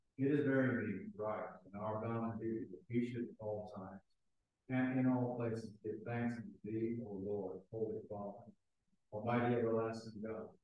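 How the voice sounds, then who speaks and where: Strong room echo surrounds a man's voice. He talks at a moderate pace with fairly even intonation. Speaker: priest leading the liturgy. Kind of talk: fervent liturgical prayer, solemn and intoned in archaic prayer-book language. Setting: church. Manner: solemn, formal, earnest, halting in places. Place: church. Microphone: camera far.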